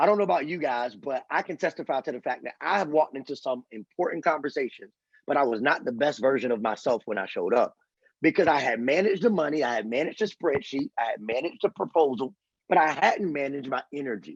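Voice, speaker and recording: A man speaks at a very fast pace with lively intonation and an animated tone. The sound is dry and close, with no echo. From US Northeast, Philadelphia. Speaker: pastor and author. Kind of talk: motivational talk.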